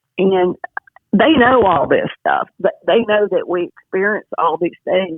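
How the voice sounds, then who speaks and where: A woman speaks at medium pitch with lively intonation and very even loudness. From US South. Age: 60s. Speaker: alien contactee. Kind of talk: interview. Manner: halting.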